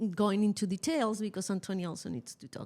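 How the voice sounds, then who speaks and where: A woman with a Chilean accent. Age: 50s. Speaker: podcast co-host, mother. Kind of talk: casual chat. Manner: halting.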